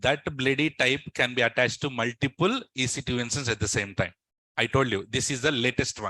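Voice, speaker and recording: This man talks at a fairly quick pace with a medium pitch, ordinary pitch variation and a bright, sharp tone. The background is quiet, and the sound is dry and close with no echo. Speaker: cloud computing instructor. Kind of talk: lecture.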